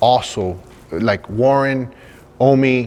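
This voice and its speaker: The man's pitch is medium. It moves with ordinary variation. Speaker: show host. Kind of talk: casual talk to camera.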